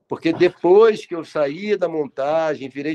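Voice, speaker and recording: With a dark, mellow tone, a man speaks at a fairly high pitch with ordinary pitch variation, the sound dry and close with no echo. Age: 60s. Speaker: TV director. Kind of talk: interview testimony. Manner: halting, with many repetitions.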